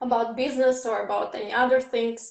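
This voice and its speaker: A woman with a Russian accent speaks at a fairly high pitch. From Ukraine. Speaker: English teacher and event host. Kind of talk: interview / panel discussion.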